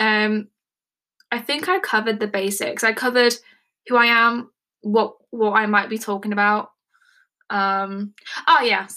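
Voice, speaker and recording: A woman with an English accent, fairly high pitch and bright, sharp, animated tone at a fairly slow pace, long, frequent pauses, on a very clean recording with a silent background. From England. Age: 20s. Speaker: podcast host. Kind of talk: casual monologue. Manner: rambling, animated.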